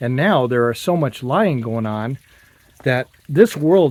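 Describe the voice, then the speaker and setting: His pitch variation is ordinary. This man's voice has a medium pitch. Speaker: video blogger. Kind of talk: casual monologue while hiking. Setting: outdoors, canyon hike. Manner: slow; thoughtful, unscripted.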